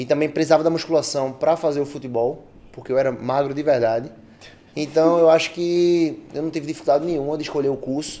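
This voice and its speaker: Fairly high in pitch, this man has a normal speaking voice. His intonation is fairly even and his pace fairly quick. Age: 20s. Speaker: personal trainer. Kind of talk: casual podcast interview.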